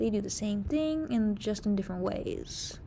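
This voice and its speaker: A woman speaks at a moderate pace in a fairly high pitch with lively intonation. Her voice is somewhat breathy, with a dark, mellow tone. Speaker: teacher. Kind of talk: tutorial.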